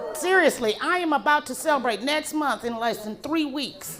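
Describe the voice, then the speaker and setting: A woman's high, raised, projected voice with an American accent over crowd noise in the background. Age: 60s. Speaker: comedian. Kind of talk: stand-up. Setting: stage with audience.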